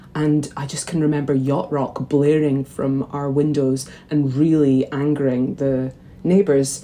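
Over noticeable background noise, a woman with a Scottish accent speaks at a fairly slow pace in a very deep, low pitch, her intonation monotone and flat. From Scotland, St Andrews, Fife. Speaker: magazine editor. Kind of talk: interview. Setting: video call.

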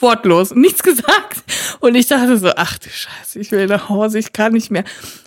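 A woman speaks in a normal speaking voice at a moderate pace. Her pitch is fairly high, with ordinary variation. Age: 30s. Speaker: podcast co-host. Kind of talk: casual chat.

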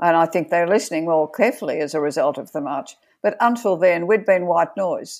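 Very clean recording with a silent background, where a speaker with an Australian accent talks at a fairly quick pace with ordinary pitch variation. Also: woman, fairly low pitch for a woman. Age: 70s. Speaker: feminist activist and board director. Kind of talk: interview.

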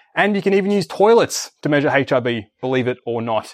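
A man's fairly high voice with lively intonation against a quiet background. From Australia. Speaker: researcher and podcaster giving a talk. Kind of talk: academic lecture. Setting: lecture hall with audience. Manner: hesitant, many fillers.

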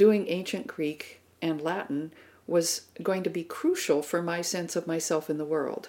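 A woman with an American accent and a fairly low pitch speaks at a fairly slow pace. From US Pacific Northwest. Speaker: classics professor. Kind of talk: interview.

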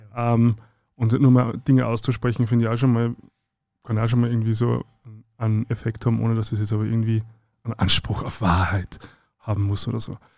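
Moving at a fairly quick pace, a man speaks with a dark, mellow tone at medium pitch. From rural Austria. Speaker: podcast co-host. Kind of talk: casual chat. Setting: recording studio.

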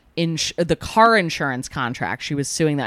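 Dry and close with no echo, on a very clean recording with a silent background, a woman with a fairly low pitch speaks in an unremarkable speaking voice with ordinary pitch variation. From New Jersey. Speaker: comedian. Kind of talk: casual chat.

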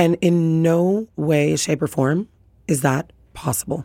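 A woman speaks with a Canadian accent and a dark, mellow tone. Her pitch variation is ordinary, and the sound is dry and close with no echo. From Canada. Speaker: bar beverage director. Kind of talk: casual interview. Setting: studio.

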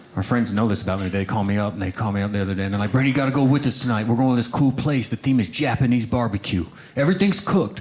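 Noticeable background noise sits behind a man's speech. He talks at a very fast pace with lively intonation. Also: medium pitch for a man, hardly any pauses. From small-town Oklahoma. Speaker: stand-up comedian. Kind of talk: stand-up.

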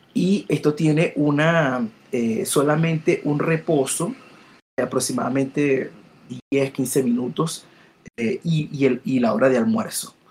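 Here a man in a plain, everyday voice talks at a fairly slow pace, fairly high in pitch, with ordinary pitch variation. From Latin America. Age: 40s. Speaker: database expert. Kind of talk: interview. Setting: live stream.

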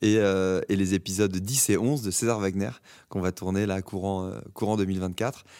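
A man's tone is dark and mellow. The recording is very clean, and the background is silent. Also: fairly low pitch for a man, moderate pace. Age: 30s. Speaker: actor. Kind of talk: casual interview. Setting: theatre stage. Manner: halting, many repetitions.

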